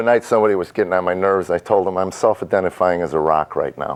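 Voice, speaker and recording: Over noticeable background noise, a man talks at a very fast pace. His pitch is fairly low. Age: 60s. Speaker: comedian. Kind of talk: panel discussion.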